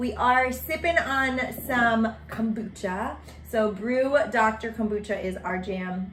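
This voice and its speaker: Very slowly and in an upbeat tone, a woman talks at fairly high pitch with ordinary pitch variation over noticeable background noise. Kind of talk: podcast host casual talk.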